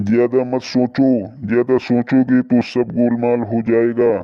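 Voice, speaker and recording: A man's cartoonish character voice, medium in pitch, with monotone, flat intonation at a fairly slow pace. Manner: smooth, coaxing.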